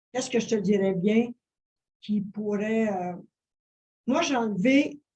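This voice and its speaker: A woman speaks very slowly in a fairly high, somewhat breathy voice. Her tone is dark and mellow, with ordinary pitch variation. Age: 70s. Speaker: interview guest, wellness influencer. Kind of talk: interview. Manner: halting, many fillers.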